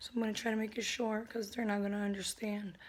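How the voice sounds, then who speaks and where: A woman talks loudly with an American accent at a fairly high pitch. Her intonation stays monotone and flat. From Connecticut. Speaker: vlogger. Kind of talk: personal vlog, testimony.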